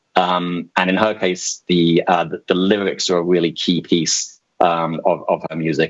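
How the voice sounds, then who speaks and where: A man talks in a British accent. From UK. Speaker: music streaming executive. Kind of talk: presentation. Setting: video call. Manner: hesitant, many fillers.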